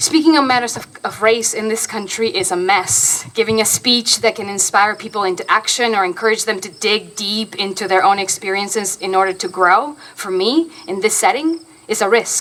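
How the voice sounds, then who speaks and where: With a Spanish accent, a woman speaks at a moderate pace and fairly high pitch, with ordinary pitch variation and hardly any pauses. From Argentina. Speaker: stage actor. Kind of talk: public lecture.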